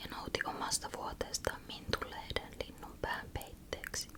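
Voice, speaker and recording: A woman whispers in a calm tone at a very slow pace, with noticeable background noise. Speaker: ASMR creator. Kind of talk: whispered bedtime story reading. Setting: studio microphone close up. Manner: whispered, soft, calm.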